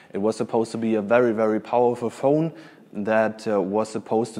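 With a dark, mellow tone and a fairly low pitch, a man talks at a moderate pace using ordinary pitch variation. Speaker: conference speaker. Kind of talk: conference talk. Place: hall.

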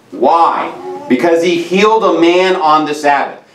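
A man is speaking. His voice carries audible room echo. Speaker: preacher. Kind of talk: sermon. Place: church.

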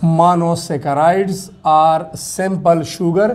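A man's high voice with a Pashto accent, at a fairly slow pace with ordinary pitch variation. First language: Pashto (speaking Hindi). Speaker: science teacher on YouTube. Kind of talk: lecture. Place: classroom. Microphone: lapel.

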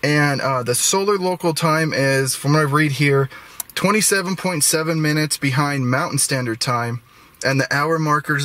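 The speech moves at a fairly slow pace with ordinary pitch variation, in a dry sound with no echo. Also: man. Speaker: travel vlogger. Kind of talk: casual vlog chat. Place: car. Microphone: phone near.

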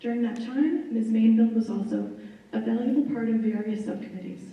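An American accent with fairly even intonation, heard with audible room echo. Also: woman. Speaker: school committee chair. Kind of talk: public meeting report. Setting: public meeting, live streamed.

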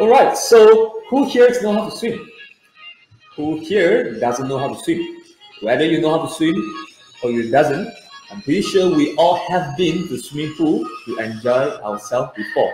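There is audible room echo and faint music in the background as a man speaks at a moderate pace, pausing long and often. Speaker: swim coach. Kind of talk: online kids lesson. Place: home room. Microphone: webcam.

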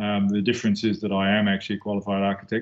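A man with a New Zealand accent, fairly low in pitch, talking very fast in a monotone, flat intonation. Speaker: architect. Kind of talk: lecture. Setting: video call. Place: office. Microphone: video call.

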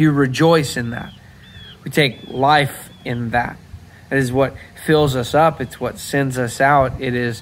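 With light background noise behind him, a man talks at a fairly slow pace and with fairly even intonation. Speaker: pastor. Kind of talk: devotional talk and scripture reading. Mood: calm, reflective. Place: garden. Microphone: phone near.

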